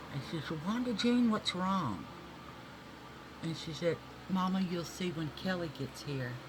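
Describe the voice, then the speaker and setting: A woman speaks at a fairly slow pace with very wide pitch swings. Audible room echo fills the recording. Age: 60s. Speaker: beauty vlogger. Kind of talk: casual makeup tutorial chat. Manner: animated.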